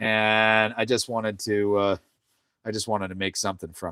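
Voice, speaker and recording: Someone with a Canadian accent speaks in a relaxed tone at a moderate pace, recorded dry and close with no echo, very clean over a silent background. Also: man. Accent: Canadian, noticed by viewers. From Canada, Ontario. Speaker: woodworker streaming live. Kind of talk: casual live stream chat while woodturning. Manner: relaxed, halting with fillers.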